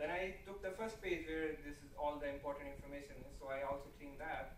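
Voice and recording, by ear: Over clear background noise and audible room echo, a man speaks fast at a fairly high pitch with little pitch movement.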